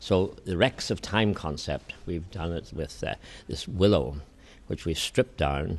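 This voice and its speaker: In an Irish accent, a man with a very deep, low pitch speaks at a moderate pace. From Ireland. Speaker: Presbyterian minister and flower arranger. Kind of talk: interview. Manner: halting.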